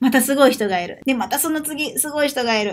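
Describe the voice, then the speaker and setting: Her pace is fairly quick and her pitch is high. This woman speaks with lively intonation. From Japan. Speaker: Portuguese language teacher and vlogger; Portuguese language teacher, vlogger. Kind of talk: vlog monologue. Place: home room. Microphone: webcam.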